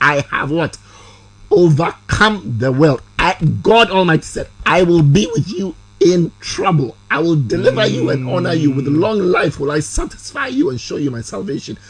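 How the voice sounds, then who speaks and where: Against loud background noise, a man speaks at a fairly high pitch and a moderate pace. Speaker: actor. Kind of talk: interview answer. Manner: preaching, emphatic. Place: studio. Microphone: studio mic.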